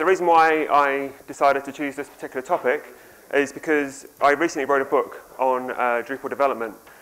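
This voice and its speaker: A man with a New Zealand accent and fairly high pitch, fairly even intonation, a fairly quick pace, and noticeable background noise. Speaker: software developer and author. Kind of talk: conference talk. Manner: conversational with frequent ums.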